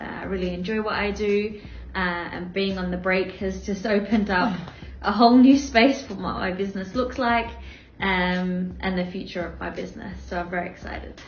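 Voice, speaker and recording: Against noticeable background noise and audible room echo, a woman speaks at a moderate pace with medium pitch and fairly even intonation. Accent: Australian. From Australia. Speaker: business owner. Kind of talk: interview.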